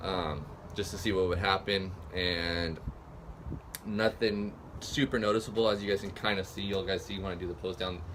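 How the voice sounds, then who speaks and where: A man's fairly low voice with vocal fry, ordinary pitch variation, a moderate pace, and audible room echo. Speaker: fitness vlogger. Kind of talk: casual vlog. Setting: outdoors. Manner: soft-spoken; hesitant, many fillers.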